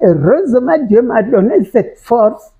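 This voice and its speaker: The voice is somewhat breathy, and its pitch swings very widely. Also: woman. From Gabon. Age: 90s. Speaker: retired politician and former teacher. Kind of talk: interview. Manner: halting.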